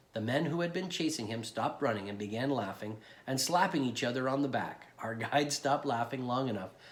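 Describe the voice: A plain reading aloud marked by lively intonation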